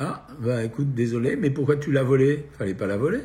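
There's a somewhat breathy quality to this man's voice, and his pitch varies in an ordinary way. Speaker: nutritionist doctor hosting a live Q&A. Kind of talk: live stream Q&A answering viewer questions. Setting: at home, live video stream.

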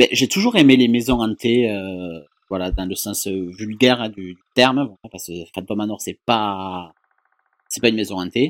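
A man speaks fairly slowly at a fairly low pitch, with ordinary pitch variation. His loudness swings widely. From southern France. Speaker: YouTube vlogger. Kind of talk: casual chat.

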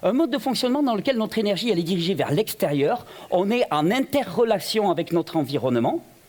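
A man talks at a fairly quick pace. His pitch makes very wide swings. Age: 40s. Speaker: health speaker, association founder. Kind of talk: public talk.

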